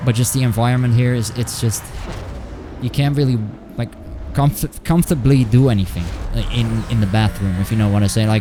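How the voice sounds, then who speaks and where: Music plays in the background as a man speaks at a fairly quick pace, broken by long, frequent pauses. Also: medium pitch for a man, ordinary pitch variation. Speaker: video game streamer. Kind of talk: live gameplay stream chat. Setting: home. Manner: halting.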